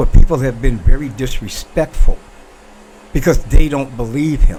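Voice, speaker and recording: Over noticeable background noise, a man talks at a moderate pace in a medium pitch, his animated tone carrying ordinary pitch variation. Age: 60s. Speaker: talk show host. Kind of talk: opinion monologue.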